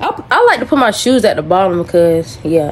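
A woman speaks at a fairly quick pace with a fairly low pitch, a slightly mellow tone and lively intonation, over faint background noise.

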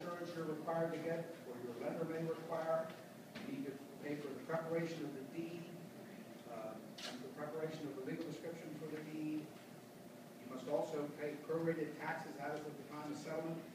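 Fairly quick male speech amid noticeable background noise and audible room echo. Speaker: auctioneer. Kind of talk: interview answer explaining a property sale process. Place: meeting room. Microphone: camera far.

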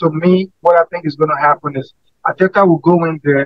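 In a quiet setting, a man with a high pitch speaks at a moderate pace with fairly even intonation. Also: dry sound with no echo. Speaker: football fan panelist; panelist. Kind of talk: post-match fan debate.

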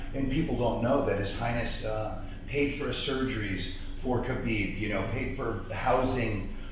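The voice moves at a fairly slow pace in strong room echo. Background noise is noticeable. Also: man. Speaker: combat sports ring announcer. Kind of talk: interview answer. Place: home room. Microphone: camera far.

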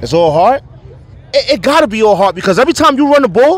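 Man with a New York accent at a fairly quick pace. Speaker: youth sports podcast host. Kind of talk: post-game interview. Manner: animated.

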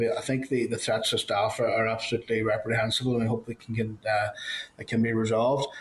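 Very fast speech comes from a man with a Northern Irish accent. His medium-pitched voice stays monotone and flat. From Northern Ireland. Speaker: committee chair. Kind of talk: formal meeting chairing. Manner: hesitant, many fillers. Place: office. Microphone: video call.

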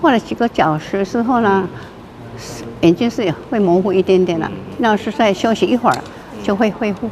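A woman talks at a moderate pace with medium pitch and ordinary pitch variation, leaving long, frequent pauses. Noticeable background noise sits behind her. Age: 80s. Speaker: retired amateur painter. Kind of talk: interview answer. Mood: calm, gentle. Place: hall.

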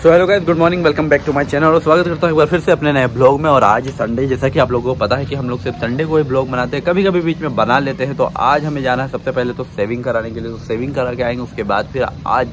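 A man at a very fast pace with hardly any pauses, ordinary pitch variation and noticeable background noise. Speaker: vlogger. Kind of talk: casual vlog chat. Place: street. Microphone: phone near.

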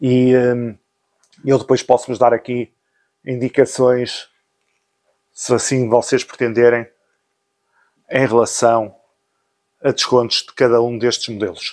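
At a fairly slow pace, a man speaks in a monotone at a medium pitch, with flat intonation and long, frequent pauses. The background is quiet. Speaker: motorcycle gear seller and vlogger. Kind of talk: sales pitch, motorcycle gear shop promo. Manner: brisk pitchman patter, listing discounts and prices; friendly, informal, direct address to viewers. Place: shop. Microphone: phone near.

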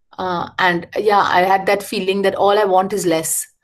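A woman speaks at a moderate pace against a quiet background. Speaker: architect and educator. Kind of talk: lecture. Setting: video call. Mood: reflective, calm. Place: home room.

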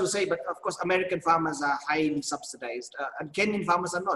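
The background is quiet. A man speaks very fast in a high pitch. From Kenya. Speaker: agribusiness executive. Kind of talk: panel discussion. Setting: video call. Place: office. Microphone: video call.

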